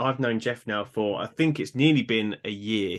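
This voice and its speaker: In a British accent, a man speaks with a bright, sharp tone and lively intonation. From Britain. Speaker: podcast host and fitness coach. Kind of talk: casual interview chat. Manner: halting, many fillers.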